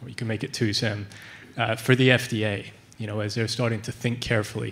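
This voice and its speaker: At a fairly quick pace, a man with a plain, everyday voice speaks at a medium pitch and fairly even intonation. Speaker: audience member. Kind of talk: audience question.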